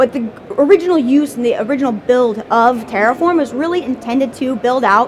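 Her pitch is high, with ordinary variation, as a woman talks over noticeable background noise. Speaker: tech company director giving conference talk. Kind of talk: conference presentation. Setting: stage with audience. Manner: fast.

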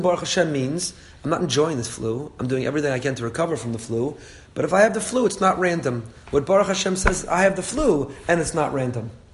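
Talking at a very fast pace, a man uses a fairly high pitch and lively intonation. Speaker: rabbi teaching a Torah class. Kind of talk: religious lecture. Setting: class with live audience. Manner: conversational, with laughs.

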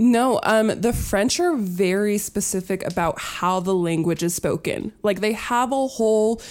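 Against a silent background in a very clean recording, a woman with an American accent and a plain, everyday voice speaks fairly slowly at medium pitch. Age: 20s. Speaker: university student. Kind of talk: casual chat.

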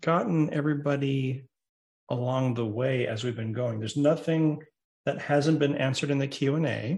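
A man's somewhat breathy voice, fairly high in pitch, with ordinary pitch variation. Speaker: tech podcast host. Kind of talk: casual tech podcast chat. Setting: video call. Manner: hesitant, many fillers and repetitions.

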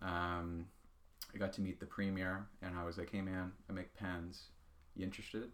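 A man with a Nova Scotian accent and a very deep, low voice, speaking at a moderate pace in a flat monotone. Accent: Nova Scotian Canadian English. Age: 20s. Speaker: pen maker and small business owner. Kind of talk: casual interview chat. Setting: podcast recording.

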